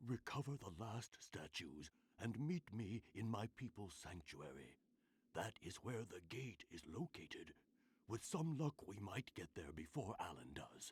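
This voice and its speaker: A man puts on a character voice at medium pitch, swinging very widely in pitch. His moderate pace comes through a dry, close sound with no echo. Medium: video game. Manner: solemn, measured.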